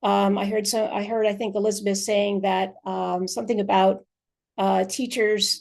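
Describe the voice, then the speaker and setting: In a quiet background, a woman speaks with monotone, flat intonation. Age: 60s. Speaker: association president, physical education teacher. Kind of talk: webinar closing remarks. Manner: hesitant, many fillers.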